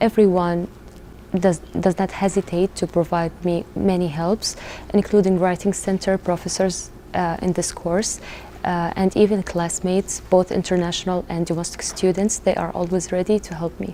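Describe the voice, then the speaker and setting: Over noticeable background noise, a woman with a non-native accent speaks in a flat, monotone intonation. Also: fairly low pitch for a woman, moderate pace. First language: not English. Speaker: international student. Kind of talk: casual chat.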